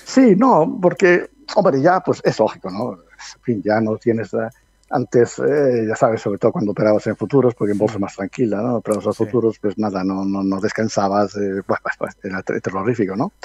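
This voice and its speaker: A man with an ordinary speaking voice talks at a moderate pace and fairly low pitch. His intonation is lively, and the sound is dry and close with no echo. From Spain, Medina del Campo (Valladolid). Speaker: stock market analyst and professor. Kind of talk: interview.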